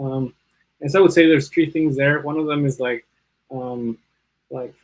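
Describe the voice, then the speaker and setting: With a Spanish accent, a man talks at a fairly high pitch. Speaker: bioinformatics panelist. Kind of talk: panel discussion. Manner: hesitant, many fillers.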